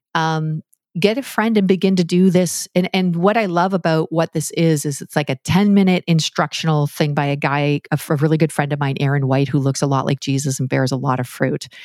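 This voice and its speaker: A woman with a Canadian accent speaks in a very deep, low pitch with ordinary pitch variation and hardly any pauses. The recording is very clean with a silent background and a dry, close sound with no echo. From Canada. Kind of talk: interview conversation.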